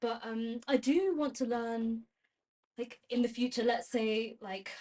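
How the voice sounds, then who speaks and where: A woman with a London accent at a fairly slow pace, her pitch varying in an ordinary way. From London, England. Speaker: university student. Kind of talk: casual chat.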